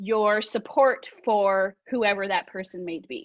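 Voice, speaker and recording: A woman speaks at a fairly slow pace with a fairly high pitch and ordinary pitch variation, over a quiet background. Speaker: direct sales team leader. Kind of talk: team training call. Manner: loud; animated.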